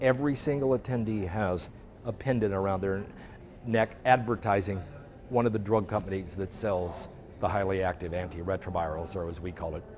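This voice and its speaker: At a moderate pace, a man talks in a fairly low voice with ordinary pitch variation. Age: 60s. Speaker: journalist. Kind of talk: interview. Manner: animated.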